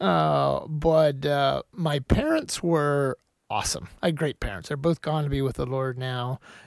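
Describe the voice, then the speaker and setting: A man with an American accent speaks at a fairly slow pace in an unremarkable speaking voice, his pitch fairly high with ordinary variation. The recording is very clean, with a silent background. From Pennsylvania, Lebanon County. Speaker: farmer and businessman. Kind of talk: testimony.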